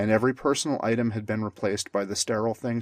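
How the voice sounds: The speaker reads in a natural reading voice, keeping the intonation fairly even.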